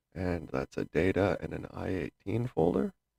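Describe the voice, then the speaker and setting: Heard dry and close with no echo, a man speaks at a moderate pace with vocal fry and very wide pitch swings. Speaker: gaming tutorial youtuber. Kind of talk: tutorial. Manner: casual, with fillers.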